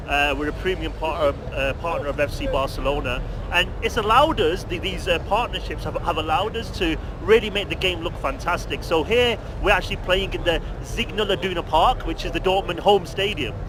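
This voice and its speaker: A man speaks at a fairly quick pace, his voice carrying audible room echo over noticeable background noise. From UK. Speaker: video game company representative. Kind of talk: interview. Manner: fast, talkative; halting with repetitions.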